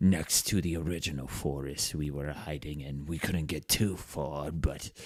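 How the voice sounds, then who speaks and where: A man's put-on character voice, very deep and low in pitch, with ordinary pitch variation. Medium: actual play.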